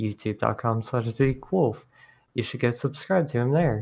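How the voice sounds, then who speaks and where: A man at a moderate pace, medium in pitch. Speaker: guest, animator. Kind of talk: casual chat. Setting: video call.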